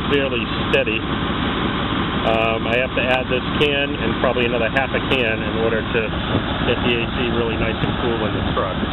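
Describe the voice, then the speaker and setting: A man at a fairly quick pace, dry sound with no echo, over loud background noise. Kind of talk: tutorial. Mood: mildly disappointed then satisfied. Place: garage. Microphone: phone near.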